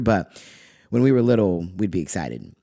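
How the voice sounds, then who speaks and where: A man of medium pitch with a Californian accent, very fast pace and lively intonation, in a very clean recording with a silent background. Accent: Californian American. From California (Lompoc). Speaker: podcaster telling personal stories. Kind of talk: personal essay read aloud.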